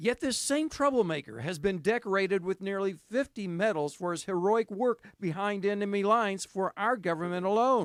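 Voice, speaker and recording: A man's high-pitched voice with hardly any pauses, in a dry, close sound with no echo. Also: ordinary pitch variation, moderate pace. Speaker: TV news reporter. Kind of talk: TV news feature narration.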